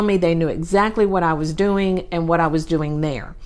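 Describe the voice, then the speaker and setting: The speaker has a Southern US accent. Their intonation stays fairly even. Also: woman. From Texas. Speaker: podcast host, real estate business coach. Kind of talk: solo podcast talk. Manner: casual, with many fillers.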